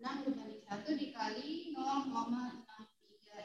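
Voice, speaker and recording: A woman with a high voice speaks at a fairly slow pace with lively intonation, and audible room echo surrounds her. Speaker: university lecturer. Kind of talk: lecture.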